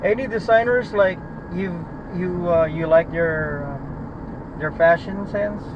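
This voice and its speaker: Speaking at a very slow pace, a man with a high pitch uses ordinary pitch variation over noticeable background noise. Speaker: rideshare driver. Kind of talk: casual chat.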